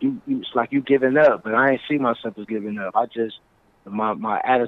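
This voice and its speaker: Speaking with an American accent, a man keeps a moderate pace. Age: 40s. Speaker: rapper. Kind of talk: interview.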